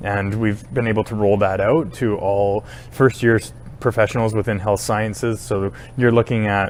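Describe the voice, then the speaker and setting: A man with a Canadian accent speaks at a moderate pace with ordinary pitch variation. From British Columbia, Canada (Powell River). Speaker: university administrator. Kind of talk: interview. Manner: hesitant, with frequent fillers.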